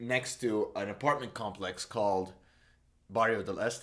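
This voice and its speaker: A man with an Arabic accent talks at a moderate pace and a medium pitch, using ordinary pitch variation. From Saudi Arabia. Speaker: musician. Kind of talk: casual interview monologue. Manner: hesitant, many fillers.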